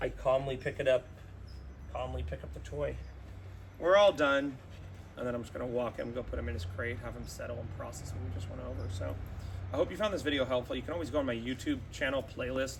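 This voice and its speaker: Very fast speech with long, frequent pauses over noticeable background noise. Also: man. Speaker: dog trainer. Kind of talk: tutorial.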